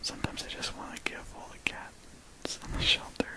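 The speaker whispers, soft-spoken, at a moderate pace. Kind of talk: casual vlog chat. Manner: soft close whisper. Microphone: phone near.

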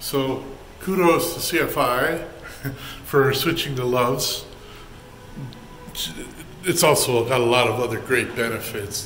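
A man talks at a fairly slow pace. Music is playing underneath him. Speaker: truck driver vlogger. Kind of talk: casual vlog chat. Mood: cheerful, relaxed, joking. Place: bathroom. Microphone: phone near.

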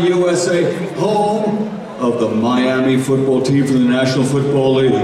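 A man talks at a moderate pace amid audible room echo and noticeable background noise. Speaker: ring announcer. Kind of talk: event announcing. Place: stage.

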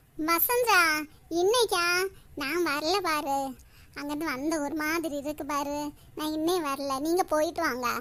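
Using a high-pitched cartoonish character voice, a woman speaks at a fairly slow pace. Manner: casual, tag word 'paaru'.

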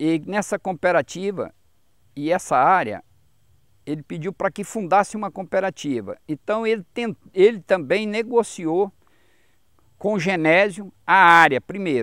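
Against a quiet background with a dry sound and no echo, a man with a high pitch speaks at a fairly slow pace, leaving long, frequent pauses and using ordinary pitch variation. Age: 50s. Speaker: gold miner; interviewee. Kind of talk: interview. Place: garden.

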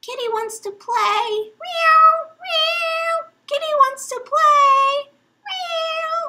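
The put-on character voice is extremely high in pitch and very slow in pace. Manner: creepy.

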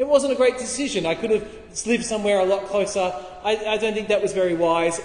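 Talking very fast, a man is heard with light background noise and audible room echo. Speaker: preacher. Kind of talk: sermon. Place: hall. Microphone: camera far.

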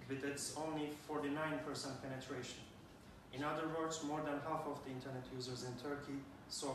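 A man's monotone, flat delivery amid noticeable background noise and audible room echo. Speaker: presenter. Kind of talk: conference talk. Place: classroom.

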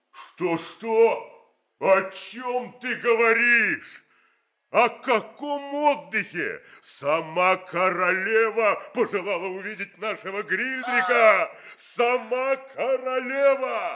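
Someone uses a put-on character voice. The delivery is very slow. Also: man, extremely high pitch for a man. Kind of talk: 1970s Soviet radio theatre. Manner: boastful, bustling, excited.

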